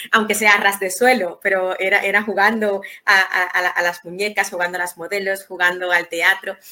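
A woman speaks at a moderate pace with hardly any pauses. Her intonation is monotone and flat, with noticeable background noise. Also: medium pitch for a woman. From Dominican Republic, Santo Domingo. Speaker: writer and poet. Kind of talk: interview. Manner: halting, many repetitions.

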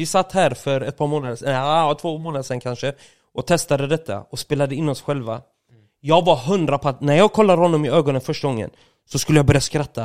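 Speaking at a very fast pace, a man with a fairly high pitch and ordinary pitch variation is captured in a dry, close sound with no echo on a very clean recording with a silent background. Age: 30s. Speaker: streamer. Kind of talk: casual chat.

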